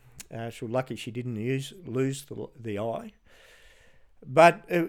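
The recording is very clean, and the background is silent. A man talks in an Australian accent. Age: 60s. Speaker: retired police detective. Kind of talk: interview. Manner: halting.

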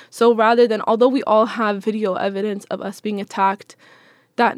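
In a very clean recording with a silent background, a woman with an American accent speaks in an unremarkable speaking voice at a fairly high pitch, with fairly even intonation and a dry, close sound with no echo. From Seattle, US Pacific Northwest. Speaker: Palestinian-American community member. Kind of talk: interview.

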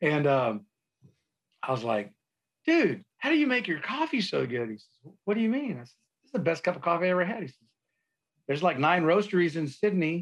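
A man with a South Texas accent speaks in a high pitch with very wide pitch swings. His pace is fairly quick, broken by long, frequent pauses. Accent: South Texas American. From South Texas, San Antonio. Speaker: Navy veteran and coffee entrepreneur. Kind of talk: casual interview chat.

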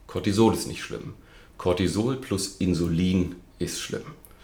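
Somewhat breathy and very deep, a man's voice moves at a fairly slow pace with ordinary pitch variation in audible room echo. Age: 40s. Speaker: nutrition coach and speaker. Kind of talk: interview.

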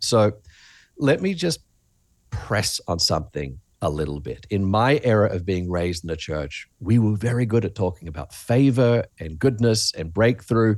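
In an Australian accent, a man speaks at a fairly slow pace. His fairly low voice has lively intonation. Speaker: pastor and author. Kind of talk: interview. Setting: video call.

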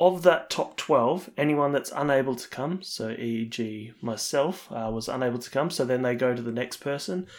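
A man with an Australian accent speaks at a moderate pace and a medium pitch. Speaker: podcast co-host. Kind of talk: casual chat.

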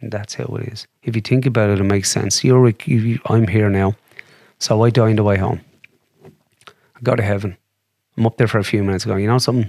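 Someone with an Irish accent speaks at a fairly quick pace with fairly even intonation. The loudness swings widely. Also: man, fairly low pitch for a man. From Ireland, County Wicklow. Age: 40s. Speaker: demonologist. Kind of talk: casual interview.

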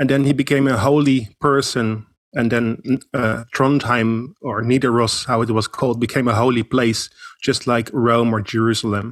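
A man speaks with a Dutch accent at medium pitch and a moderate pace. His loudness stays very even and his intonation fairly even. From Netherlands. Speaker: pilgrimage guide. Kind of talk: casual interview.

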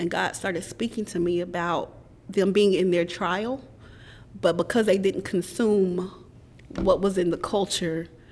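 Here is a woman with a plain, everyday voice and an American accent. Her pitch is fairly low and her intonation fairly even. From Middle Tennessee, US South. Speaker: licensed minister. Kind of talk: casual interview chat. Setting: on-location recording at a community center.

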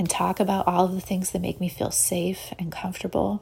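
A woman speaks in a somewhat breathy voice. Her pitch is medium and her pace moderate. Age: 30s. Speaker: podcast host and illustrator. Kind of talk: solo podcast monologue. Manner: soft-spoken.

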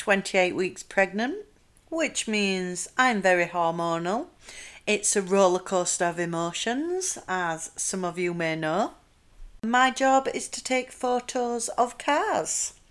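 On a very clean recording with a silent background, a woman with a Yorkshire accent talks at a very slow pace, her fairly high pitch making very wide swings. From South Yorkshire, England. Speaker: podcast host. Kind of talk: casual monologue.

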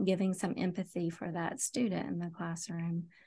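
Against a quiet background, a woman with an East Tennessee accent talks at a moderate pace in a fairly low pitch. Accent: East Tennessee Southern US. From Knoxville, Tennessee. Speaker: school social worker. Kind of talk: podcast interview.

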